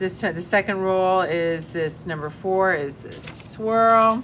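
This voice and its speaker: The intonation stays fairly even. Light background noise can be heard. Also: woman. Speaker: middle school art teacher; art teacher. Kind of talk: classroom tutorial. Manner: casual. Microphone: phone near.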